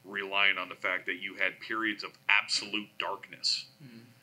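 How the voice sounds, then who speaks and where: The delivery has an American accent and comes at a moderate pace. Its intonation is monotone and flat. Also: man. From US. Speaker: army civilian technology program manager; panelist. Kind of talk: panel discussion explanation. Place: hall. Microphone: camera far.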